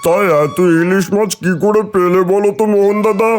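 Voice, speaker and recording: Doing a cartoonish character voice with a high pitch, a man speaks at a moderate pace while clear music plays in the background. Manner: blunt, demanding.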